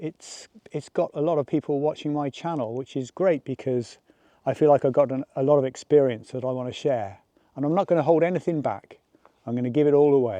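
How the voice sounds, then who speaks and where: Speaking with an English accent, a man with a fairly high pitch and a dark, mellow tone keeps a moderate pace and ordinary pitch variation, the sound dry and close with no echo against a quiet background. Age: 60s. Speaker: landscape photographer and vlogger. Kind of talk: casual vlog tutorial.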